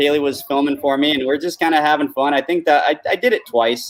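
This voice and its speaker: With an American accent, a man talks at a fairly quick pace in an ordinary speaking voice, his pitch fairly high. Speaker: jet ski freestyle rider. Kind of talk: casual interview.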